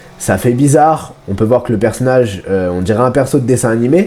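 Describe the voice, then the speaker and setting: Lively intonation over noticeable background noise. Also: man. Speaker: gaming YouTuber. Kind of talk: game review commentary. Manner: casual, with frequent hesitations.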